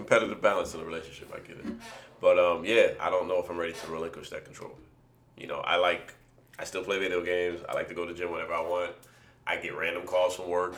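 A man talks very fast amid noticeable background noise and audible room echo. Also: big swings in loudness. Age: 30s. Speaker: podcast host. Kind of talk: casual chat.

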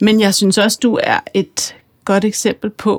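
Speech comes very slowly from a woman. The audio is close and dry, free of echo. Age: 40s. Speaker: podcast host and author. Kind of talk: interview conversation; scripted introduction.

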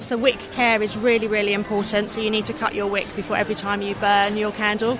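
A woman speaks at a fairly high pitch. Audible room echo and noticeable background noise come through as well. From Surrey, England. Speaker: candle maker. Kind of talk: casual interview. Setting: gift fair.

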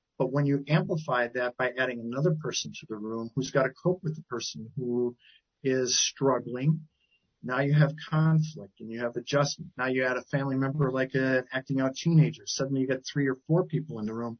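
A man with an American accent speaks in a medium pitch with fairly even intonation. His voice is somewhat breathy and his pace fairly quick. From Wisconsin, Milwaukee area. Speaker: CEO of a professional association, family therapist. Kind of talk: interview.

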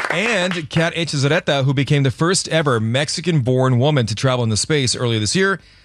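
Over noticeable background noise, a man with a fairly high pitch talks at a very fast pace with hardly any pauses, an upbeat tone and lively intonation. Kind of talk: radio DJ patter. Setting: radio studio. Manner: upbeat, quick, bantering morning-show host.

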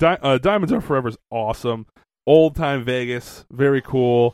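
A man with an ordinary speaking voice talks at a fairly slow pace and medium pitch, with ordinary pitch variation. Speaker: podcast co-host. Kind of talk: casual banter.

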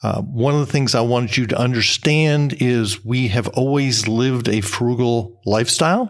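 A man speaks in a normal speaking voice at medium pitch, keeping a moderate pace with hardly any pauses, very even loudness and ordinary pitch variation. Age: 60s. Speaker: podcast host, career coach. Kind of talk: casual solo podcast talk.

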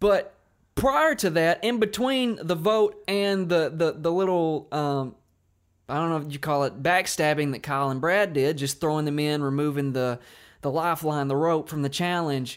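A very clean recording with a silent background of a man with a normal speaking voice, fairly high in pitch for a man, with ordinary pitch variation and a moderate pace. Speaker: podcast host. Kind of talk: casual chat.

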